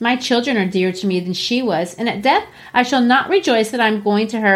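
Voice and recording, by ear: Reading aloud in a natural voice, the speaker's pitch varies in an ordinary way.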